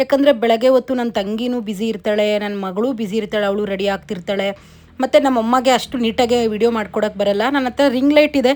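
A woman talks in a fairly high pitch, her pitch varying in an ordinary way. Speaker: vlogger. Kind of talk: casual vlog talk. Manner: loud.

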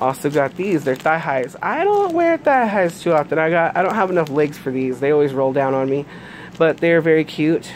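Noticeable background noise beneath a woman's very deep, low-pitched voice. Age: 30s. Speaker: YouTuber reviewing products. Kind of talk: casual unboxing review. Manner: hesitant, many fillers.

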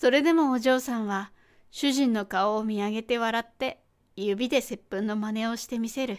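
The voice reads naturally. Nothing about the reading is forced.

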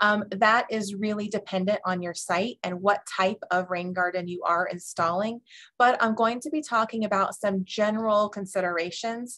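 A woman talks at a moderate pace with hardly any pauses and fairly even intonation. Her tone is bright and sharp, and the background is quiet. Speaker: webinar presenter. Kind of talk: lecture. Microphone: webcam.

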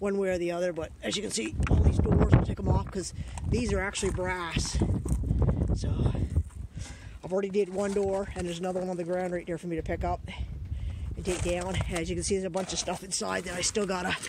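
Very fast speech in a dry sound with no echo sits over loud background noise. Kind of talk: casual vlog chat. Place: open country. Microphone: phone near.

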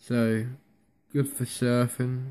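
Speaking with a Devon accent, a man keeps a medium pitch in a monotone, flat intonation. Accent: Devon (West Country English). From North Devon, England. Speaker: vlogger. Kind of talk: casual talk to camera. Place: home room. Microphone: phone near.

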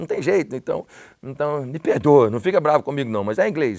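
With an English accent, a man speaks at a fairly high pitch with vocal fry against a quiet background. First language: English (speaking Portuguese). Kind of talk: casual chat. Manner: halting. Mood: warm, animated, heartfelt. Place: studio.

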